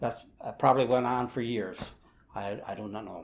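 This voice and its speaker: At a moderate pace, a man with an Upper Midwest accent talks with ordinary pitch variation. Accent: Upper Midwest American. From US Midwest, rural Wisconsin. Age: 70s. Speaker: retired engineer and Air Force veteran. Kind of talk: personal storytelling interview. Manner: halting, many fillers.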